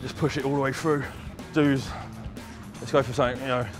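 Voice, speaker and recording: A man is speaking. Clear music plays in the background. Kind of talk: tutorial. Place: gym.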